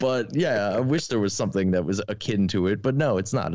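An ordinary speaking voice from a man, fairly quick in pace, with lively intonation. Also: quiet background. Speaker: podcast guest and film fan. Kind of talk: casual chat.

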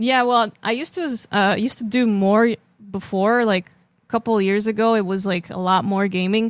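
An ordinary speaking voice from a woman, fairly high in pitch with ordinary pitch variation and a moderate pace, on a very clean recording with a silent background. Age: 30s. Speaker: drummer and streamer. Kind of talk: casual interview.

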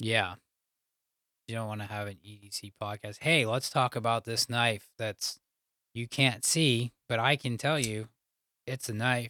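A man speaks fairly slowly at a medium pitch, with a bright, sharp tone, fairly even intonation, big swings in loudness and long, frequent pauses. The recording is very clean, with a silent background and a dry, close sound with no echo. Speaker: podcast host. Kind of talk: casual banter between co-hosts. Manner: monotone.

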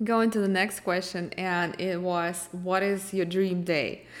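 A woman speaks in a Russian accent at a very slow pace. Her pitch is fairly low. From eastern Ukraine (Mariupol). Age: 30s. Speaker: fashion blogger and podcast host. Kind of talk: solo Q&A podcast monologue.

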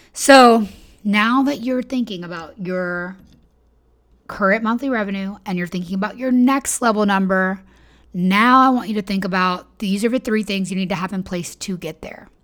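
A woman speaks at a moderate pace in an animated tone. The recording is very clean, with a silent background. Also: medium pitch for a woman, ordinary pitch variation. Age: 30s. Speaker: business coach and podcast host. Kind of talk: solo podcast monologue.

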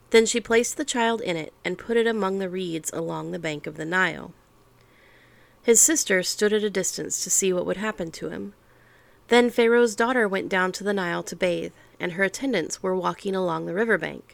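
A normal speaking voice from a woman, medium-pitched with ordinary pitch variation, at a fairly quick pace in a very clean recording with a silent background. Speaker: podcast host reading the Bible. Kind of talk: scripture audiobook reading.

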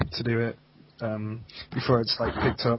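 Against noticeable background noise, a man with an American accent speaks at a medium pitch. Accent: British with American-sounding intonation. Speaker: guest, speedcubing competitor. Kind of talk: casual chat. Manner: apathetic, low energy.

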